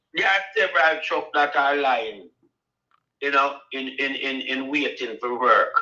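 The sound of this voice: With audible room echo, a man at medium pitch speaks at a fairly slow pace in a bright, sharp tone with ordinary pitch variation.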